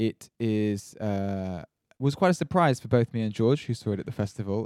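Recorded dry and close with no echo, a man with a plain, everyday voice speaks at a medium pitch with ordinary pitch variation. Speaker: film podcast host. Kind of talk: casual chat. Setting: home studio.

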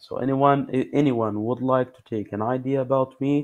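This man speaks at a moderate pace in a medium pitch, his intonation monotone and flat. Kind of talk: casual chat. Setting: video call. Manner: halting.

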